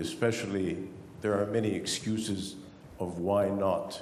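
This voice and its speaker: This man speaks at a fairly slow pace in an Arabic accent. His fairly low pitch carries audible room echo. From Egypt. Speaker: audience member. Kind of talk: audience question at panel. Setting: conference hall with audience.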